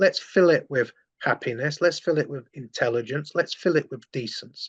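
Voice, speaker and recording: With lively intonation, a man speaks at a moderate pace in a fairly high pitch. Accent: London. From London. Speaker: former far-right activist turned anti-fascist campaigner. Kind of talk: interview. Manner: animated.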